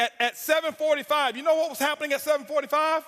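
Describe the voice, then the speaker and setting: Shouting in a raised, projected voice, a man talks at a very fast pace with extremely high pitch, a fairly even intonation and an intense tone. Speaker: network marketing speaker. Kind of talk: motivational speech. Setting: stage with audience. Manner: intense, yelling.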